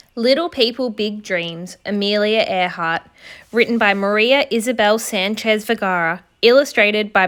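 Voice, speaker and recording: Against a very clean, silent background, a woman with an Australian accent speaks at a moderate pace, her fairly high pitch showing ordinary variation. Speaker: teacher. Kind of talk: children's picture book read-aloud.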